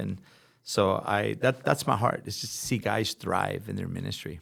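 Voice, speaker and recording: With vocal fry and lively intonation, a man with a fairly low pitch speaks at a fairly slow pace. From Los Angeles, California (born in Brooklyn). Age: 50s. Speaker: pastor. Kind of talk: interview conversation.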